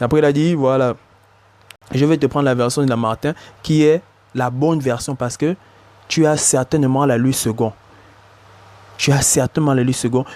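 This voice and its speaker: This man has a fairly high pitch and fairly even intonation. He talks at a moderate pace in a dry, close sound with no echo. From Africa. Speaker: bible teacher. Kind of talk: religious commentary. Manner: hesitant, repetitive.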